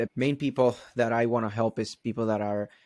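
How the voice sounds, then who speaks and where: In a dry, close sound with no echo, a man with a medium-pitched voice talks at a fairly quick pace. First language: not English. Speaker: marketing strategist. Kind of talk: podcast interview. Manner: casual, conversational.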